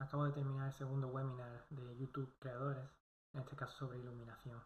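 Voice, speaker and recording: A man's very fast, somewhat breathy delivery at a medium pitch, monotone and flat. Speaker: video blogger. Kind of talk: casual talk to camera, course summary.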